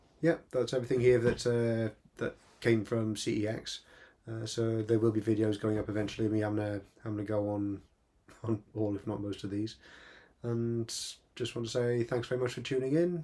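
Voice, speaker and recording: Captured in a very clean recording with a silent background, a man with a medium pitch and a dark, mellow tone speaks at a fairly quick pace with fairly even intonation and long, frequent pauses. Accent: Welsh. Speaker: retro gaming youtuber. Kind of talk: casual video monologue. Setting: small home room. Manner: fast; hesitant, repeats words.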